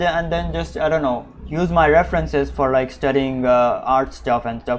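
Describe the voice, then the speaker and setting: This speaker has an Indian accent. The pace is moderate. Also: man. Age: 30s. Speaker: artist. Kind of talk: live stream chat. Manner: animated.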